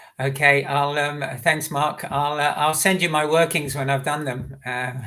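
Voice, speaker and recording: There is audible room echo around a man's voice. He speaks at a fairly high pitch with monotone, flat intonation. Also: fairly slow pace. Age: 60s. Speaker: running coach and author. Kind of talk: live Q&A session. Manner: halting, many fillers.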